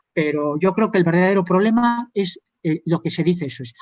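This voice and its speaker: Over music in the background, a man speaks with ordinary pitch variation in a dry, close sound with no echo. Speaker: judge. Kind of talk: conference panel talk. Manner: fast.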